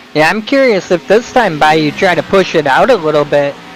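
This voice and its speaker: Noticeable background noise sits behind a man speaking. His high pitch rises and falls with lively intonation. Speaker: sim racing commentator. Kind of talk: live commentary.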